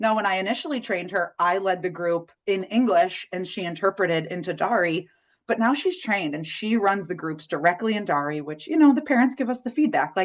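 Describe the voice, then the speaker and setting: A woman with an unremarkable speaking voice talks at a medium pitch. Her fairly quick delivery has lively intonation and hardly any pauses. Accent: American. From United States. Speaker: parenting educator and webinar presenter. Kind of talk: webinar presentation. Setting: online webinar.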